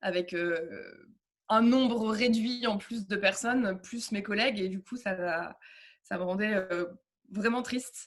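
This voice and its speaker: A somewhat breathy voice at a very slow pace, with ordinary pitch variation. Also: woman, medium pitch for a woman. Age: 30s. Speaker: yoga teacher. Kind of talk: interview. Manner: hesitant, many fillers.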